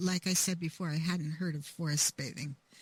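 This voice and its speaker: A woman speaks in a fairly low, somewhat breathy voice. The sound is dry and close, with no echo. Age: 70s. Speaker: author. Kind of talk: interview.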